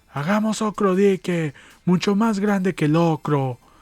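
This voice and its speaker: In a put-on character voice, the speaker goes at a moderate pace, with a dry, close sound, no echo, and a very clean recording over a silent background. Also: man, high pitch for a man. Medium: read story. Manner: defiant, proud.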